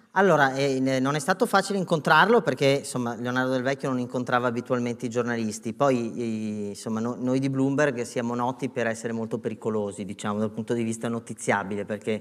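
Against a quiet background, a man with a Venetian accent talks very fast at a medium pitch, with ordinary pitch variation and hardly any pauses. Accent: Veneto. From northern Italy, Veneto (Treviso); Veneto, Italy. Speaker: journalist and book author; journalist. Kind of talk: on-stage interview. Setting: theatre stage with audience. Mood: moved, earnest. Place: stage. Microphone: lapel.

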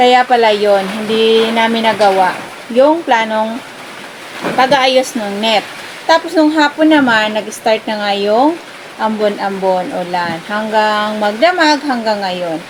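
Very slow, lively speech from a woman with a fairly high pitch, against noticeable background noise. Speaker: farm vlogger. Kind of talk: casual vlog talk to camera.

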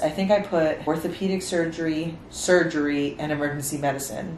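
Speaking at a fairly quick pace, a woman with a very deep, low pitch keeps her intonation fairly even over noticeable background noise. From New York City (Spanish Harlem). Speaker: medical student. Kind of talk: casual talk to camera.

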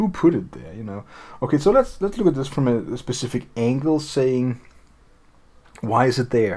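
A man with a non-native accent at a moderate pace, marked by long, frequent pauses. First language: not English. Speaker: tutorial video creator. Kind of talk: tutorial walkthrough. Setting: screen recording voiceover. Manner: casual, hesitant with fillers. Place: home room.

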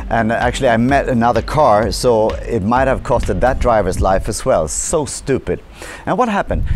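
A man with a Swedish accent talks at a medium pitch with lively intonation. Faint music plays in the background. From Sweden. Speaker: motivational speaker. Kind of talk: vlog monologue. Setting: hotel on the Swedish west coast. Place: street. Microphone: lapel.

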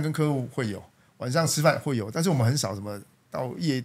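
Over a silent background in a very clean recording, a man with a medium pitch talks at a fairly quick pace, his intonation lively and his voice somewhat breathy. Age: 40s. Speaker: company general manager. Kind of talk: interview.

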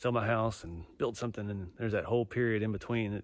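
Dry with no echo and set against a quiet background, this is a man's voice. His pitch is fairly low, with ordinary variation. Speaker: vlogger. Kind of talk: casual vlog chat. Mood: relaxed, reflective. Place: forest. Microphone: phone near.

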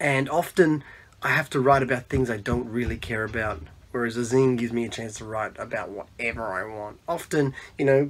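The speaker has an Australian accent and a fairly quick pace. Pitch variation is ordinary, while loudness swings a lot. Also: man. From Australia, Melbourne. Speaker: zine maker; podcast interviewee. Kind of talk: self-introduction monologue. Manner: halting, many fillers. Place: home room. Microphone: phone near.

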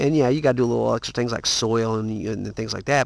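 Very fast speech with ordinary pitch variation sounds dry, with no echo. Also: man. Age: 40s. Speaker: home gardener vlogger. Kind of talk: casual video tutorial. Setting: garage. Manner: hesitant, many fillers. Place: garden. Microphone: phone near.

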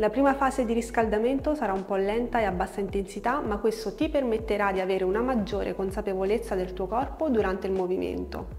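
A woman's very fast delivery with hardly any pauses, ordinary pitch variation and light background noise. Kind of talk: tutorial. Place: home room. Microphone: lapel.

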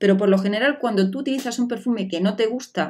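An animated woman with ordinary pitch variation against a quiet background. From Spain. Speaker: beauty vlogger. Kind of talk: product review vlog. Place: home room.

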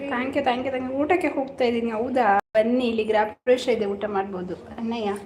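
A woman is talking in a high voice. The variation in her pitch is ordinary. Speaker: live-stream host. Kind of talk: casual live-stream chat with viewers. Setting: house-warming function at home.

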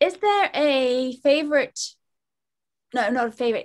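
With a British accent and lively intonation, the speaker goes at a fairly slow pace against a quiet background. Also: woman. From United Kingdom. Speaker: meditation instructor. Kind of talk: interview show host questions. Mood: playful, cheerful. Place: home room. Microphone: video call.

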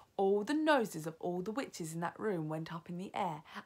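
Plain reading aloud, delivered with lively intonation.

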